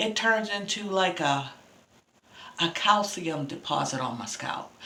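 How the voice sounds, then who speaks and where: Lively intonation from a woman at a fairly slow pace, with audible room echo and noticeable background noise. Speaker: beauty vlogger. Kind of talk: casual hair care vlog.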